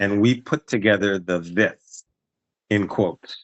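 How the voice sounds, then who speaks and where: An unremarkable speaking voice talks at a fairly slow pace. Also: man. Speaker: business promoter pitching a workshop partnership. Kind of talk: business pitch call.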